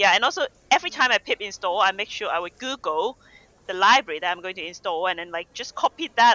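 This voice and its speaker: A non-native accent colors this speech, delivered at a fairly quick pace. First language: not English. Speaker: developer advocate. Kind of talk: casual chat. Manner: halting.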